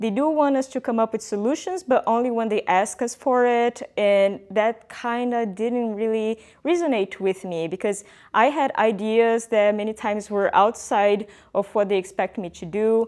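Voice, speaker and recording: A woman with a Portuguese accent, a fairly high pitch and ordinary pitch variation, at a moderate pace against a quiet background. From Brazil. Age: 30s. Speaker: former engineer turned fitness coach. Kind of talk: personal vlog monologue.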